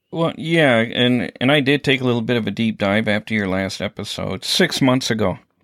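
A man with an unremarkable speaking voice talks at a medium pitch and moderate pace, with ordinary pitch variation and hardly any pauses. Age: 50s. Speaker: podcast host, EMT. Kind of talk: casual interview.

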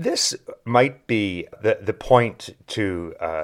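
With a Maritime Canadian accent, a man speaks at a fairly low pitch in a very clean recording with a silent background. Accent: English Canadian (Maritimes). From New Brunswick, Canada (Saint John). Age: 60s. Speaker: podcast host, former political science professor. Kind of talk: monologue lecture. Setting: at a desk, solo recording.

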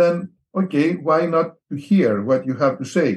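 Fairly high in pitch, a man talks with a Greek accent. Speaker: missionary. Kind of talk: interview.

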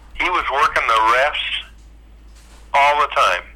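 With an American accent, the man talks fairly slowly while noticeable background noise runs behind him. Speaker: retired volleyball player. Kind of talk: reminiscing interview.

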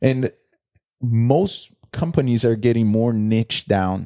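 In a dry, close recording with no echo, a man speaks in a dark, mellow tone with ordinary pitch variation. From Brazil, São Paulo. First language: Portuguese. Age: 30s. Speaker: entrepreneur and former soccer player. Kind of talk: casual interview. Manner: halting, many repetitions.

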